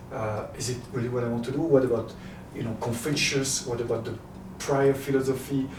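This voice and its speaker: A man with a French accent talks at a fairly quick pace in a medium pitch and monotone, flat intonation, with noticeable background noise and audible room echo. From France, Paris. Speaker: happiness coach and entrepreneur. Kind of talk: interview. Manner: halting.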